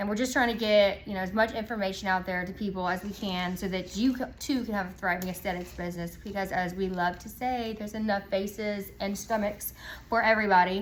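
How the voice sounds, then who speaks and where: Here a woman talks at a medium pitch with fairly even intonation and hardly any pauses. Room echo is audible. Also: fairly quick pace. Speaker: aesthetics clinic owner. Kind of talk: casual educational talk. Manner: fast.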